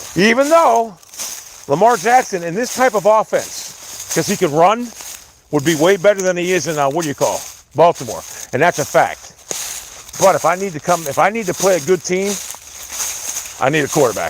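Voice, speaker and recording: A man speaks loudly at a moderate pace, high-pitched with lively intonation and an animated tone. He leaves long, frequent pauses, and there is noticeable background noise. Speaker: sports livestreamer. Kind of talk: casual livestream rant. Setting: outdoors, walking in the woods.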